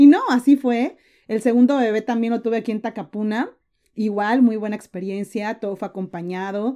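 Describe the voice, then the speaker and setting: With a Mexican accent and a dark, mellow tone, a woman talks at a moderate pace in a fairly high pitch, with ordinary pitch variation and big swings in loudness, on a very clean recording with a silent background. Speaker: entrepreneur and content creator. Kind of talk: interview.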